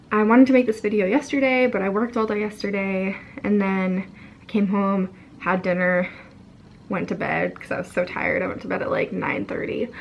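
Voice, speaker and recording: Over noticeable background noise, a woman with a medium pitch speaks at a fairly quick pace. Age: young. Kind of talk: casual talk to camera.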